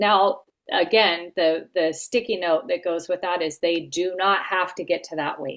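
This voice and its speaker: Pitch varies in an ordinary way. It is a plain, everyday voice delivered at a fairly slow pace. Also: woman. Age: 50s. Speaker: health coach trainer. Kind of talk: casual coaching call tutorial.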